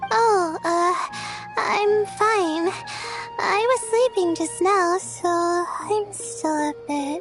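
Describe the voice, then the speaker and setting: Clear music plays in the background as a woman does a cartoonish character voice at an extremely high pitch. She stretches her words out at a very slow pace. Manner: hesitant, stammering.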